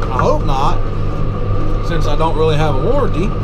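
A man speaks over loud background noise. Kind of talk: casual vlog chat. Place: farm machine. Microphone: camera far.

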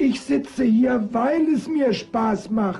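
A man's cartoonish character voice, extremely high in pitch and very slow in pace. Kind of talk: deadpan comic sketch acting. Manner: calm, terse, patient.

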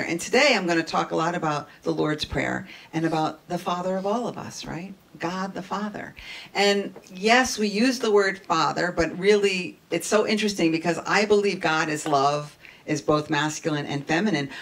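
A woman speaks with a fairly low pitch. Her intonation is lively. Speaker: minister giving a talk. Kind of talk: sermon. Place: church.

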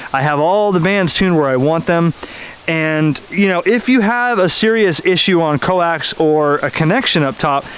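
In dry sound with no echo, a man at a high pitch speaks at a moderate pace with ordinary pitch variation and very even loudness. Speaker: ham radio hobbyist. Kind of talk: casual vlog chat. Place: garden. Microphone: phone near.

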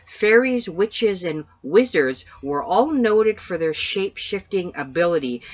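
With a Canadian accent and lively intonation, a woman speaks at a fairly slow pace in an unremarkable speaking voice against a quiet background. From Canada. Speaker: paranormal podcast co-host. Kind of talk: casual chat.

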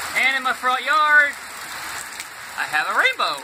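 An American accent over noticeable background noise. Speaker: homeowner. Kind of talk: casual phone video narration. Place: home room. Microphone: phone near.

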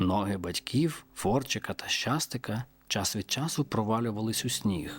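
Natural voice reading aloud

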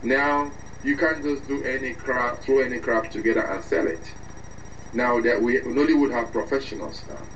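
A man speaks with ordinary variation in his pitch while noticeable noise is heard behind him. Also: medium pitch for a man, moderate pace. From Nigeria. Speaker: actor and filmmaker. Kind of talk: interview.

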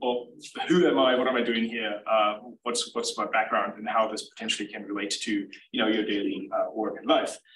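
A man at a fairly quick pace, with light background noise and audible room echo. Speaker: presenter. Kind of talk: lecture. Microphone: video call.

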